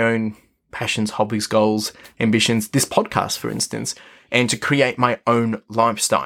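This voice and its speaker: A man talks at a moderate pace and a medium pitch. The recording is very clean, with a silent background. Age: 30s. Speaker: podcast host. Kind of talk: solo motivational monologue. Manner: energetic.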